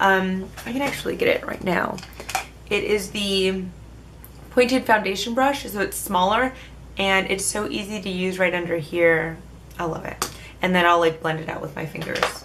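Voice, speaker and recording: A woman's medium-pitched voice with long, frequent pauses, audible room echo and noticeable background noise. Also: ordinary pitch variation, moderate pace. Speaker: beauty vlogger. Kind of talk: casual product review. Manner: jumbled, stumbling speech.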